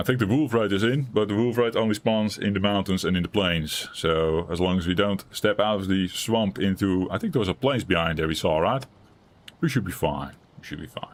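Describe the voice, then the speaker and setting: A man speaks loudly at a fairly quick pace with a non-native accent. His pitch is fairly low, with ordinary variation. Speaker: gaming streamer. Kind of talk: live gameplay commentary. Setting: live stream. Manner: chill, relaxed.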